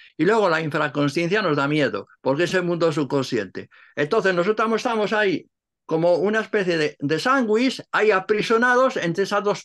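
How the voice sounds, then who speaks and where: Against a quiet background, a man speaks at a moderate pace in a high, bright, sharp voice with lively intonation. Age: 80s+. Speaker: Cistercian monk and translator; interviewee. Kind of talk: interview. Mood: calm, reflective. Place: home room. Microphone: video call.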